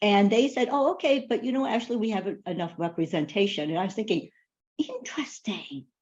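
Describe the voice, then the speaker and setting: With lively intonation, a woman speaks at a moderate pace in a fairly high, somewhat breathy voice. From Asia, raised partly in a refugee camp. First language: not English. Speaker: finance executive, panelist. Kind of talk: panel discussion.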